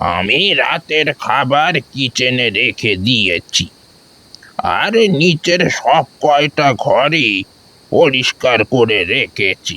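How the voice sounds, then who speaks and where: Putting on a character voice at a medium pitch, a man speaks at a very slow pace. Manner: grave, slow.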